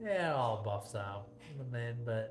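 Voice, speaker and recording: A man with an American accent speaks at a moderate pace. Audible room echo and noticeable background noise surround his voice. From Michigan, US Midwest. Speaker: livestream cooking host. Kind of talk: casual livestream chat.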